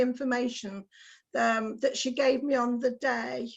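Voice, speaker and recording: A woman talks in a high voice at a moderate pace. The background is quiet. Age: 60s. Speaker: patient. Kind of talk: question to an expert in an online meeting. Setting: video call. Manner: halting.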